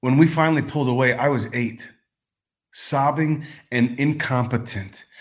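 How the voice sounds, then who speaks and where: A man with an American accent talks at a moderate pace in a medium pitch, somewhat breathy. His intonation is fairly even, broken by long, frequent pauses. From Texas. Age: 40s. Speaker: performance poet. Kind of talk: casual interview; poetry reading.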